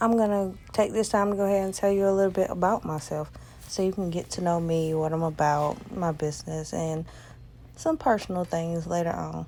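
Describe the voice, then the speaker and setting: Speaking in a rural Southern US accent, a woman talks at a fairly quick pace, her fairly low voice dark and mellow, with fairly even intonation. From US South. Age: 30s. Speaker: nail artist. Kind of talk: casual vlog chat.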